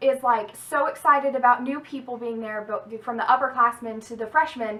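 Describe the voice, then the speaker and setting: A woman speaks in a bright, sharp tone. Her voice is raised and projected. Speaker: YouTuber and college student. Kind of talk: casual vlog advice. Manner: fast; casual with many fillers.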